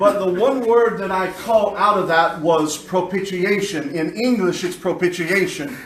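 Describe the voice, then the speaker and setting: A high-pitched man at a very slow pace with hardly any pauses, audible room echo and noticeable background noise. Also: ordinary pitch variation. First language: English (speaking Spanish). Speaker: pastor. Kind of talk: sermon.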